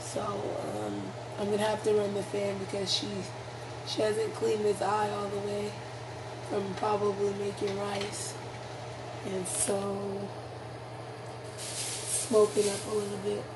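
Noticeable background noise surrounds a woman speaking at a fairly slow pace. She leaves long, frequent pauses. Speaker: home cook vlogger. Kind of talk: casual cooking tutorial. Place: kitchen. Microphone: phone near.

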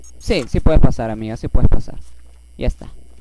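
A man with very wide pitch swings, dry sound with no echo and noticeable background noise. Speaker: gaming YouTuber; gamer. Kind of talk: let's play commentary. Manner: animated. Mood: playful, joking. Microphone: headset.

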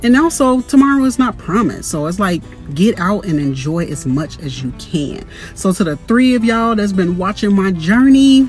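Faint music plays in the background. The speaker goes at a moderate pace, and the sound is dry with no echo. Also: woman. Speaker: vlogger. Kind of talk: casual vlog chat. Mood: upbeat, reflective. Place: car. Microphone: phone near.

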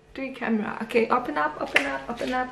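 Amid light background noise, a woman talks in a raised, projected voice with lively intonation. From South Africa. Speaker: YouTuber. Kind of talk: unboxing video. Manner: animated. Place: home room. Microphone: phone near.

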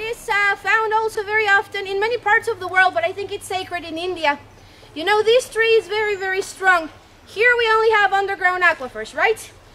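A woman speaks in a raised, projected voice at an extremely high pitch, at a fairly quick pace. Her pitch variation is ordinary, while her loudness swings widely. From Mexico. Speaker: tour guide. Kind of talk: guided tour narration. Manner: animated. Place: forest.

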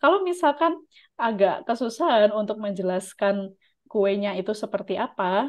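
A woman speaks at a moderate pace with a quiet background behind her. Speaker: Japanese language teacher and YouTube channel host. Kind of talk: tutorial with mock interview. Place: home room. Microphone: video call.

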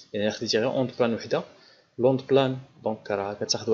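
With a Moroccan accent, a man talks at a very fast pace with fairly even intonation. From Morocco. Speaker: physics teacher. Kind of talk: lecture. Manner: halting. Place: home room. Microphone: studio mic.

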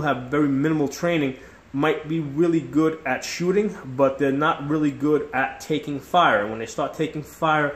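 Room echo is audible around this man. He talks at a moderate pace. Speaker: tactics instructor. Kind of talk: tutorial. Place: kitchen. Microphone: phone near.

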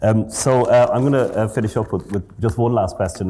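A man's dark, mellow, somewhat breathy voice in an Irish accent, very fast, with ordinary pitch variation. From Ireland. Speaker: professor of physiology. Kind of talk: interview. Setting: stage with audience. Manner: halting, repeats words. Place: hall. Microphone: lapel.

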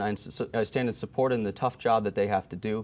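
A man's fairly low voice with a Pennsylvania accent at a very fast pace. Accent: Pennsylvania American. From Pennsylvania, Allentown area. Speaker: political candidate; candidate. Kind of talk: political debate; interview answer. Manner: halting, many fillers. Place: studio. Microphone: lapel.

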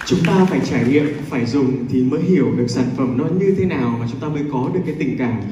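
A woman speaks very fast in a very deep, low voice with ordinary pitch variation, against noticeable background noise and audible room echo. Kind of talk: press conference answer. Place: hall. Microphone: pa.

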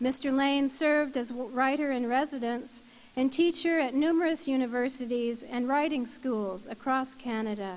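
A woman speaks with a high pitch. Her pace is moderate and her pitch variation ordinary. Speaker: ceremony presenter. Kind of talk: formal citation reading. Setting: university convocation ceremony. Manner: formal. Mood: formal, measured. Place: hall. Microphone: podium.

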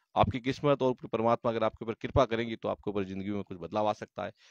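With an ordinary speaking voice, a man talks fairly quickly at a fairly low pitch against a quiet background, the sound dry with no echo. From Rajasthan, Jodhpur district; Rajasthan, India. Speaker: nutrition counselor. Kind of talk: promotional video talk. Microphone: handheld.

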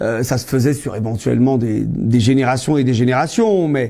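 The man's voice has a dark, mellow tone. He keeps to a moderate pace. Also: quiet background. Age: 40s. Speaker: history teacher and trade unionist; history teacher. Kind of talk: interview monologue. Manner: hesitant, many filler sounds. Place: office.

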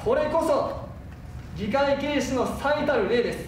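Audible room echo and light background noise accompany the voice. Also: man. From Hiroshima, Japan. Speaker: city mayor. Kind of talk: speech in city council. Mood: stern, reproachful. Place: hall.

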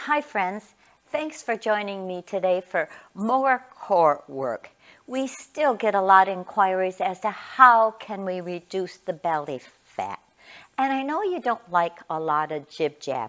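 A woman talks at a fairly slow pace, and the background stays quiet. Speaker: fitness instructor. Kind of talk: tutorial. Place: gym. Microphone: lapel.

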